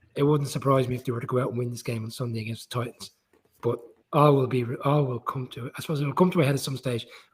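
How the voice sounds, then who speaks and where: This man talks at a very fast pace in a medium pitch. His voice is somewhat breathy. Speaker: football pundit. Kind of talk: casual chat.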